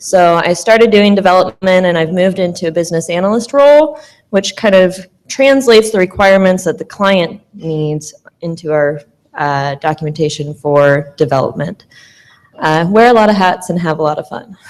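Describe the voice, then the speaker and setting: Her accent is Midwestern American, and her pitch is medium for a woman. She speaks at a moderate pace with lively intonation. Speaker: business analyst. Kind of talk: panel talk.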